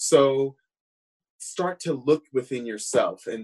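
A man with a fairly high pitch and a normal speaking voice. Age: 30s. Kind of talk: casual panel discussion.

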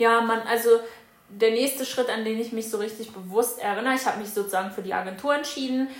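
At a very fast pace, a woman speaks at a fairly high pitch with fairly even intonation. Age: 20s. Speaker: former au pair. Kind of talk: casual chat.

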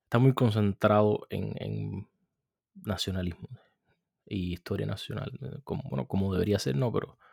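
In an ordinary speaking voice, a man with a fairly low pitch talks at a moderate pace with lively intonation, the sound dry and close with no echo. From Cuba. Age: 30s. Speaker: podcast host. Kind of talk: solo commentary.

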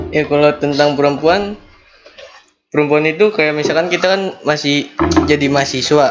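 Over music in the background, a man at a fairly high pitch speaks at a moderate pace with very even loudness, fairly even intonation and long, frequent pauses. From Jakarta, Betawi. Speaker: podcast co-host. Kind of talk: casual chat.

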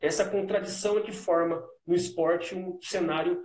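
A man with a high pitch is heard with audible room echo. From São Paulo state, Brazil (Santo André, Sorocaba). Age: 30s. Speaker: physical education teacher and author. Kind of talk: interview in a live video stream.

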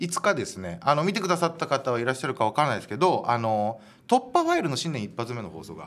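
A man with a fairly high pitch and vocal fry speaks very fast, with very wide pitch swings and big swings in loudness. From Japan, Hiroshima. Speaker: comedian and radio host. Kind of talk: solo radio talk.

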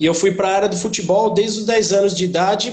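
Over audible room echo, a man with a high voice for a man speaks very fast with fairly even intonation. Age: 30s. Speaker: personal trainer. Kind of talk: interview.

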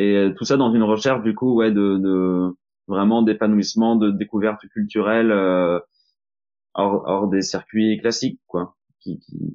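Speaking at a fairly slow pace, a man with a fairly low pitch keeps his intonation monotone and flat. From Normandy, France. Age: 30s. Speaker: employee of an energy transition association. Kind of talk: podcast interview.

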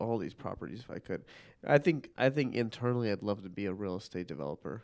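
This is a man with a normal speaking voice, medium pitch and lively intonation. The recording is very clean with a silent background. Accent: American. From US Midwest, Chicago northern suburbs. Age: 20s. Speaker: police officer, co-host friend. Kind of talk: casual chat. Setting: home recording.

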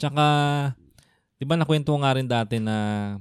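He talks with a normal speaking voice. His delivery keeps a moderate pace. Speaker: podcast co-host. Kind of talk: casual chat; scripted intro.

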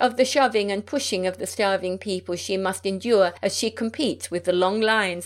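Natural-voiced reading aloud

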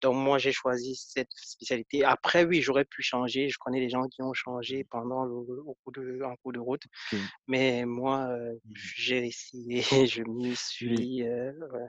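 A man at medium pitch and a very slow pace, monotone and flat in intonation, with a dry, close sound and no echo. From Cameroon, Foumban. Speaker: biotechnology engineer. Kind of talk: interview.

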